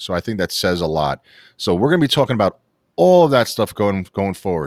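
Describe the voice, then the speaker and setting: Animated and fairly quick, a man with a New York accent speaks in a very clean recording with a silent background and a dry, close sound with no echo. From New York City, Queens. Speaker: sports podcast host. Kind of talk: casual chat. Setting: studio.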